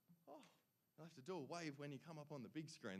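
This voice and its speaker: In an Australian accent, a man speaks in an animated tone. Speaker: awards emcee. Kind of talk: awards ceremony announcing. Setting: stage with audience.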